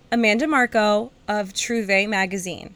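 With an American accent, a woman speaks in an animated tone at a fairly high pitch. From United States. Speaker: podcast host. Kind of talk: casual interview. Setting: remote call.

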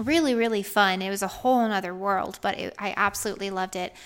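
On a very clean recording with a silent background, a woman speaks with an American accent at a medium pitch. She has a plain, everyday voice with ordinary pitch variation. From US South, Georgia. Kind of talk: casual faith-based chat.

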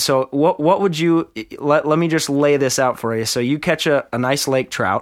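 At a fairly quick pace, a man with a fairly high pitch and ordinary pitch variation talks with an Upper Midwest accent on a very clean recording with a silent background. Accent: Upper Midwest (Minnesota). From Minnesota. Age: 30s. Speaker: podcast host. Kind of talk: casual chat.

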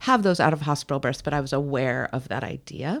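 Her intonation is lively. This woman's pitch is very deep and low. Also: very clean recording, silent background. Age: 40s. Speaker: midwife. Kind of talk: casual chat.

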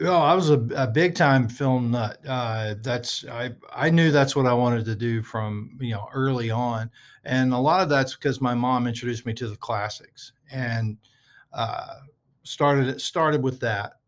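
A man with an American accent speaks at a fairly slow pace in an ordinary speaking voice, medium-pitched with ordinary pitch variation, on a very clean recording with a silent background. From Southeast Texas (Port Arthur area, near Louisiana border). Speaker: art director and prop master. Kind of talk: casual chat. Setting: at the office.

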